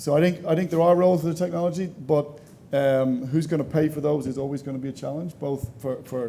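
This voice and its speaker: Speaking at a very fast pace with an Irish accent, a man has a fairly high voice with a dark, mellow tone. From Ireland. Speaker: panelist on education technology. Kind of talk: panel discussion.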